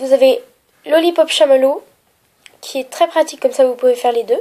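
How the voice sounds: Her voice nasal and slightly mellow in tone, a woman speaks.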